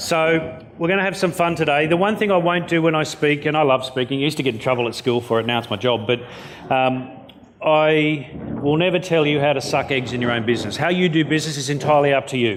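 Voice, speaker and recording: Over noticeable background noise and audible room echo, a man with an Australian accent speaks at a very fast pace. His pitch is fairly high, with ordinary pitch variation. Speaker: motivational keynote speaker. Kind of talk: keynote speech. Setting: stage with audience. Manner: animated.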